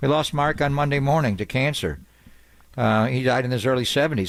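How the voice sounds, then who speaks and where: A man speaks in a plain, everyday voice, fairly high in pitch, with lively intonation at a fairly quick pace. The recording is very clean, with a silent background. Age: 60s. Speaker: sports radio host. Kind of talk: casual chat.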